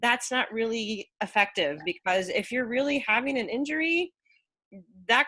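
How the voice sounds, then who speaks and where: Very wide pitch swings run through a bright, sharp tone. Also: woman. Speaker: running coach. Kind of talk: private coaching session. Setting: video call. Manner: fast.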